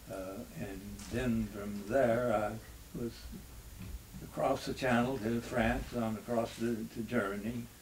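A man with a somewhat breathy, medium-pitched voice talks at a very slow pace in a monotone, flat intonation, with light background noise. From North Carolina. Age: 80s+. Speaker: retired baseball pitcher and war veteran. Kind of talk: interview answer. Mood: reflective, reminiscing. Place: home room.

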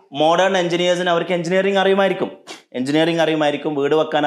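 In front of a quiet background, a man talks at a fairly high pitch with ordinary pitch variation. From Kerala. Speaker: leadership coach. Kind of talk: motivational talk to camera. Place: home room. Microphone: lapel.

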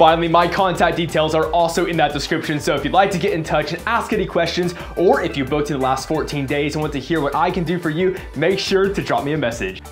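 Faint music plays in the background as a man with a high pitch speaks at a very fast pace. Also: ordinary pitch variation. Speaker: travel agent channel host. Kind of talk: casual vlog chat.

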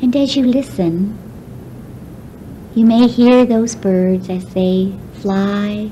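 Noticeable background noise sits behind a woman speaking at a very slow pace with long, frequent pauses. Her medium pitch shows ordinary variation. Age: 40s. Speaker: relaxation guide. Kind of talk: guided relaxation. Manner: slow, soft-spoken.

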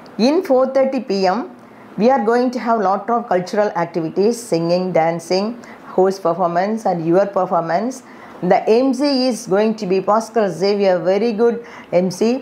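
A woman talks at a fairly slow pace with lively intonation. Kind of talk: promotional address to alumni. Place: office. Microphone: lapel.

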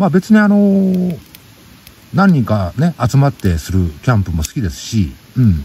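A man speaks at a fairly slow pace in a relaxed tone. Noticeable background noise sits behind him. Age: middle-aged. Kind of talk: casual radio-style monologue. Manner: relaxed, chatty.

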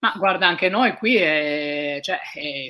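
A woman's very deep, low-pitched voice with a bright, sharp tone and ordinary pitch variation, over a quiet background. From Italy, Trieste; Italy. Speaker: ocean sailor; guest. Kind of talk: interview.

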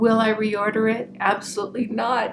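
A woman speaks over noticeable background noise. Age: 60s. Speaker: beauty vlogger. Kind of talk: monologue video, product review. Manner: warm, friendly. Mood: frank, relaxed.

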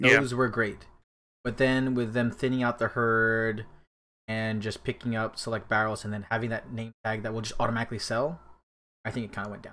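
A bright, sharp tone at a fairly quick pace, delivered in a monotone, flat intonation. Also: man. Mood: relaxed, laughing. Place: home room.

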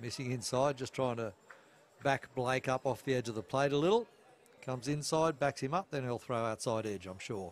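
A man with an Australian accent speaks at a fairly quick pace, his pitch medium and its variation ordinary. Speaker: baseball commentator. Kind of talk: live sports commentary. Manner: conversational, relaxed with filler words.

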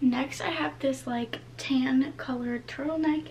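Light background noise accompanies a woman as she talks. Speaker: vlogger. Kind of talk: casual vlog chat. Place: home room. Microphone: camera far.

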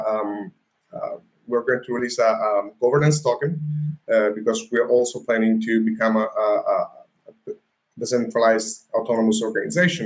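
A man with an Italian accent speaks at a moderate pace, leaving long, frequent pauses. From Italy. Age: 20s. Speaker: crypto startup founder; guest. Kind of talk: interview. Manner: halting. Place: home room.

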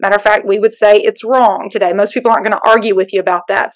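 A woman is speaking. She talks with a Southern US accent. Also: quiet background. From Alabama, US South. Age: middle-aged. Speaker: pastor. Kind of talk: panel discussion. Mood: earnest, reflective. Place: home room. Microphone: video call.

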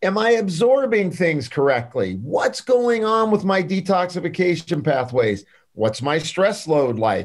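Animated and high-pitched, a man talks at a fairly slow pace with very wide pitch swings, very even loudness and hardly any pauses. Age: 60s. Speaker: clinical pharmacist and nutritionist; podcast guest. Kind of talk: interview. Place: office. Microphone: video call.

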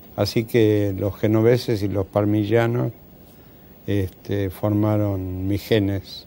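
At a very slow pace, a man speaks in a fairly low, dark, mellow voice with monotone, flat intonation. The sound is dry with no echo, over light background noise. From Argentina, Buenos Aires (Devoto). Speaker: surgeon and retired professor. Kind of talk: interview. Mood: calm, reminiscing. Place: studio.

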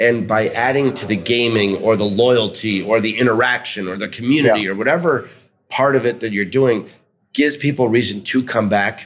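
A man with an American accent at a fairly quick pace, ordinary pitch variation and light background noise. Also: medium pitch for a man. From New York City. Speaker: restaurant executive; guest. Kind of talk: interview. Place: hall. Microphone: studio mic.

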